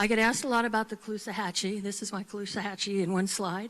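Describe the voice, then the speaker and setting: A woman with a plain, everyday voice, medium-pitched, with fairly even intonation. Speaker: marine scientist. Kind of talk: conference presentation.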